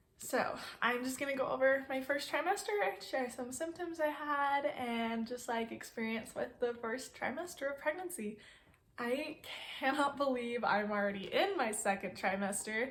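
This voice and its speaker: Over noticeable background noise, a woman with a high voice talks at a moderate pace with lively intonation. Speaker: vlogger. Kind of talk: casual vlog chat. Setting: sitting on bed, home recording.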